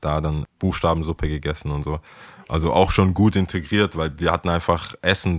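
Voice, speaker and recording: On a very clean recording with a silent background, a man with a very deep, low pitch speaks with fairly even intonation in a dry, close sound with no echo. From Ghana, then raised in Stuttgart. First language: Ghanaian language and English (speaking German). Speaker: skateboarder. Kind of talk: interview. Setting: in a taxi.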